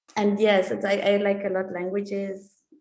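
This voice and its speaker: Dark, mellow tone at a moderate pace, with audible room echo. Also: woman. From Switzerland. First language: German and Italian. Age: 20s. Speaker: exchange student. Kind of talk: interview. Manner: hesitant, many fillers.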